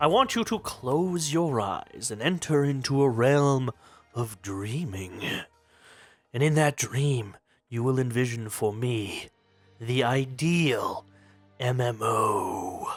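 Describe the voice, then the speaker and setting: A man speaks at a fairly slow pace in a put-on character voice of medium pitch, with long, frequent pauses. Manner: pompous, theatrical.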